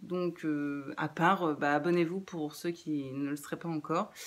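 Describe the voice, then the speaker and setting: A woman at a moderate pace. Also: very clean recording, silent background. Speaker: book youtuber. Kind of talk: casual vlog outro. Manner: halting, many hesitations.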